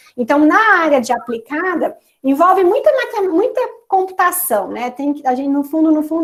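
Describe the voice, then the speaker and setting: Lively intonation runs through this fairly quick delivery. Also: woman. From Brazil, interior of São Paulo state. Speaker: professor. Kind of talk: Q&A after lecture.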